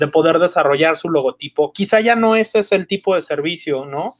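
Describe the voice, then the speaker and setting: A man talks rather briskly, his pitch moving up and down in a normal way. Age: 40s. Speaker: marketing and PR executive. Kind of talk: interview. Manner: halting, many repetitions and fillers.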